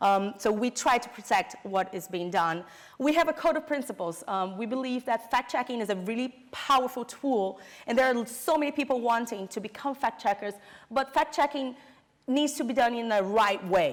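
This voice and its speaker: A woman speaks with a Brazilian Portuguese accent. Her pitch sits fairly high. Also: lively intonation, moderate pace. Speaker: fact-checking network director. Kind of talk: conference presentation. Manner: halting, many fillers.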